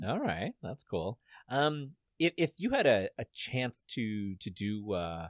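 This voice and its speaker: Over a quiet background, a man with a Canadian accent swings his pitch very widely, the sound dry and close with no echo. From Canada. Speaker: podcast host. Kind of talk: casual chat.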